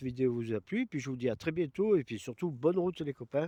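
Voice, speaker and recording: A man's fairly high voice with ordinary pitch variation, in a dry, close sound with no echo. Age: 60s. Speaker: video blogger. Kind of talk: product presentation. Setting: outdoors. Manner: casual, hesitant with many fillers.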